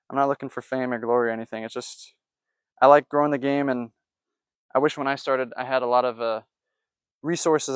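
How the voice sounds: A man speaks at a fairly quick pace and medium pitch, with fairly even intonation. The tone is clear and smooth, the sound dry and close with no echo.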